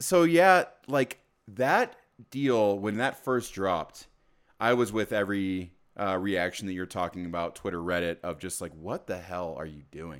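The voice moves at a fairly slow pace with long, frequent pauses, ordinary pitch variation and big swings in loudness. The recording is very clean, with a silent background. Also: man. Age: 30s. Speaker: sports podcast co-host. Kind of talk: casual chat.

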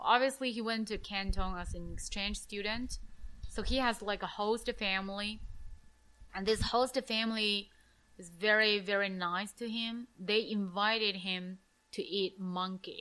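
Speaking at a moderate pace, a woman with a Chinese accent has a bright, sharp tone at medium pitch. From China. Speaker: podcast host, English teacher. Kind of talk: casual interview conversation. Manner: halting, repeats words.

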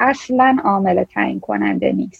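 Speaking at a moderate pace, a woman of medium pitch has a plain, everyday voice. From Iran. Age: 30s. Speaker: machine learning scientist. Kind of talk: casual interview.

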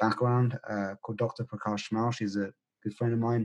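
A man's medium-pitched voice with a British accent, monotone and flat, in a dry, close sound with no echo. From UK, Indian heritage. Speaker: breathwork teacher and former pharmacist. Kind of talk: interview conversation.

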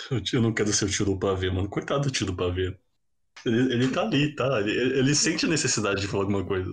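This man speaks at a very fast pace and a medium pitch, with lively intonation. His somewhat breathy voice holds a very even loudness. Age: 20s. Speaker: podcast host. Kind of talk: casual chat.

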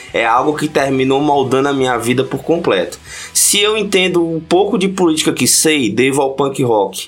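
Noticeable background noise surrounds a man's voice. He speaks at a moderate pace with a fairly high pitch. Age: 30s. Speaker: podcast guest, punk fan and history researcher. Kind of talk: casual chat.

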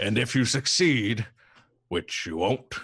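A man does a booming, put-on character voice against a quiet background. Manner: menacing, taunting.

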